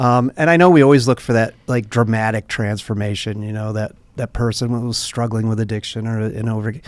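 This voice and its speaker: In a very clean recording with a silent background, a man with an unremarkable speaking voice talks at medium pitch and a fairly quick pace, with fairly even intonation and hardly any pauses. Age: 60s. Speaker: nonprofit director. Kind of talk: podcast interview, storytelling.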